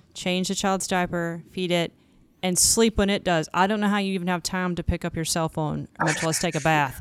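At a fairly quick pace, a woman with a fairly low pitch and fairly even intonation talks in a plain, everyday voice on a very clean recording with a silent background. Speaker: podcast co-host. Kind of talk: casual chat.

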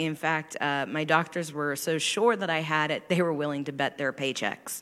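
A woman's very deep, low voice with a bright, sharp tone, fairly even intonation and a fairly slow pace, on a very clean recording with a silent background. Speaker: church member. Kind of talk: testimony. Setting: church service.

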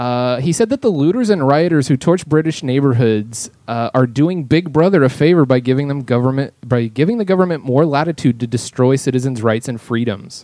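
A man's fairly high, dark and mellow voice at a fairly quick clip, with ordinary pitch variation and hardly any pauses. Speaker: podcast guest. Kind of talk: casual chat.

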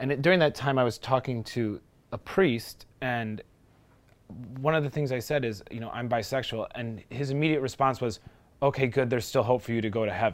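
The speaker has an American accent and an unremarkable speaking voice, moving at a fairly quick pace with ordinary pitch variation. The recording is very clean, with a silent background. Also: man, medium pitch for a man. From Milwaukee, Wisconsin. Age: 20s. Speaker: interviewee. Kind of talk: testimony.

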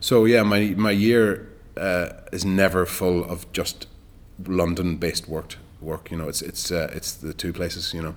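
A man's very deep, low voice in a Donegal accent, fairly slow and fairly even in intonation. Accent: Donegal Irish. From Ireland, rural Donegal. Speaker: actor. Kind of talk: casual interview. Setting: studio.

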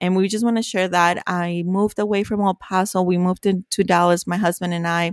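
A woman speaks at a fairly quick pace with a Spanish accent, her pitch medium and her intonation flat and monotone. The sound is dry and close, with no echo. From Mexico, Ciudad Juarez. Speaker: podcast co-host, accountant. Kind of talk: casual chat.

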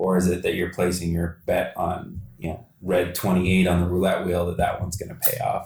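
Talking at a fairly quick pace, a man with a Canadian accent has a very deep, low pitch. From London, Ontario. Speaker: podcast host. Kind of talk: interview. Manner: halting, many fillers.

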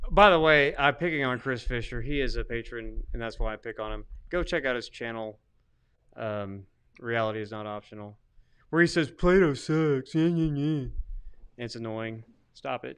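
Mumbling at a moderate pace with lively intonation, the speaker leaves long, frequent pauses against a quiet background. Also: man, medium pitch for a man. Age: 40s. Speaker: podcast co-host, theologian. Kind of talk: casual chat. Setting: livestream studio.

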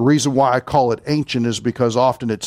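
A man speaks in a Kentucky accent at a fairly quick pace. The recording is very clean, with a silent background. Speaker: preacher. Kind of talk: sermon.

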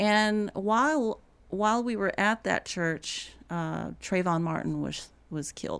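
A woman with an American accent speaks at a very slow pace on a very clean recording with a silent background. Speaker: writer and bridge builder on race. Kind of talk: casual interview conversation. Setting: studio.

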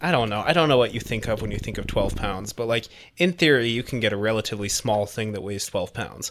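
Speaking very fast, a man uses a medium-pitched voice. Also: ordinary pitch variation. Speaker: podcast host. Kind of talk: casual banter.

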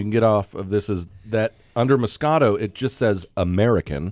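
The man speaks in a plain, everyday voice. His pace is fairly quick and his intonation lively. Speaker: radio host. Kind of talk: comedic radio banter with wine tasting. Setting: radio studio. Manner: joking, laughs often.

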